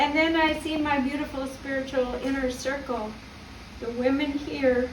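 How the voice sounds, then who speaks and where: Noticeable background noise and audible room echo surround the recording. A woman speaks at a high pitch in a monotone, flat intonation. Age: 60s. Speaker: graduate giving acceptance speech. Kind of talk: graduation acceptance speech. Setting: video call ceremony.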